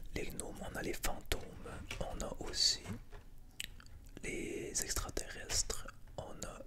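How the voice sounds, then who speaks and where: A man whispers at a very slow pace. Noticeable background noise runs underneath. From Quebec. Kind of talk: ASMR board game presentation. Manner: whispered.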